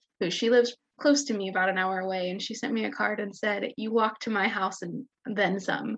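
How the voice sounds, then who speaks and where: A woman with an unremarkable speaking voice talks at a fairly quick pace in an American accent. Her pitch is medium and its variation ordinary. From Kansas. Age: 20s. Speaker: online health community member. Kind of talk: casual chat.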